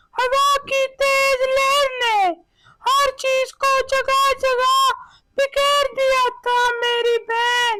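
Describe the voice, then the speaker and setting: A woman uses a cartoonish character voice at an extremely high pitch, with monotone, flat intonation. She speaks at a very slow pace and with very even loudness. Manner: earnest, affectionate storyteller.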